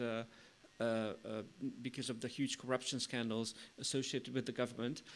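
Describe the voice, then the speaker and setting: A man in a Hungarian accent, bright and sharp in tone, at a moderate pace with fairly even intonation. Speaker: think tank strategy director. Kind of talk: conference presentation. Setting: conference with live stream audience. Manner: halting.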